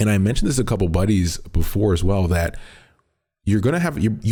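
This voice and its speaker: A man's dark, mellow tone, somewhat breathy. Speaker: esports podcast host. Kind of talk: solo podcast commentary. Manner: fast; casual, filler-heavy.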